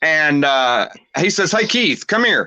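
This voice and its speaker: In a Southern US accent, a bright, sharp tone carries lively intonation at a fairly slow pace over a quiet background. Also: man. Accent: Southern twang. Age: 40s. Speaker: pro wrestler. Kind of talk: interview.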